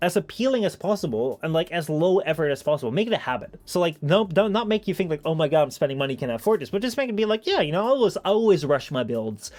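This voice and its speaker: Swinging widely in pitch, a man speaks in a high voice. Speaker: streamer. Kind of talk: casual chat. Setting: live stream. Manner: fast.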